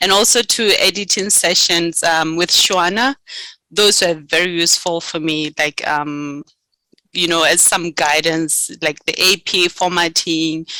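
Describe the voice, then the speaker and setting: In a Botswana accent, a woman talks at a fairly slow pace in a fairly low, bright, sharp voice with fairly even intonation and very even loudness, the sound dry and close with no echo. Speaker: graduate student. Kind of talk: interview. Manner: hesitant, many fillers.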